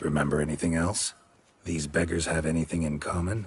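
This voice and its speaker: A man's put-on character voice, raspy and very deep and low-pitched, at a fairly quick pace. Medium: video game. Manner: terse, dry, gravelly.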